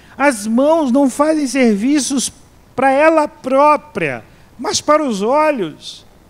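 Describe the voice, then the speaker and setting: A man speaks at an extremely high pitch. His pace is very slow. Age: 60s. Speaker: pastor and seminary professor. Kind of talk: sermon. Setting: church. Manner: halting, with frequent repetitions.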